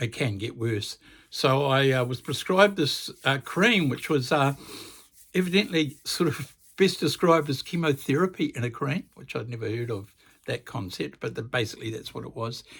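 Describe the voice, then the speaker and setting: A man with a New Zealand accent talks at a moderate pace with lively intonation. His pitch is fairly high for a man. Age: 70s. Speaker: music channel host. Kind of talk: casual vlog monologue. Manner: halting, many fillers.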